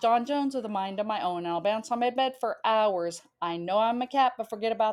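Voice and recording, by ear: Someone reads text aloud using a natural voice.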